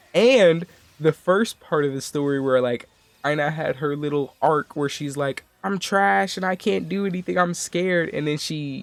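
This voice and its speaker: A man talks at a fairly slow pace with lively intonation. Noticeable background noise runs underneath. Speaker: gaming YouTuber. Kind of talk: casual gaming commentary.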